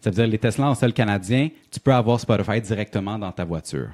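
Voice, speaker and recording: A man speaks at a moderate pace in a dark, mellow tone with fairly low pitch and lively intonation. The recording is very clean, with a silent background. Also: dry, close sound with no echo. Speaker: radio host. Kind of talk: quiz reading; casual chat.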